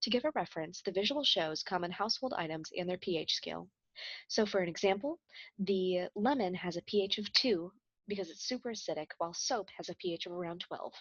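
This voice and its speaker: With a Midwestern accent, a woman speaks fairly quickly in a medium pitch. Her intonation is lively. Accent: American Midwest. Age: 20s. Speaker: chemistry student. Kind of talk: scripted project presentation.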